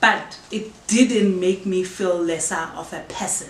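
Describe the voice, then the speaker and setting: A woman with a Zulu accent speaks at a medium pitch and with fairly even intonation. Noticeable background noise and audible room echo fill the recording. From South Africa, KwaZulu-Natal. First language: isiZulu. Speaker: podcast host. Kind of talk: casual Q&A chat. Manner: halting.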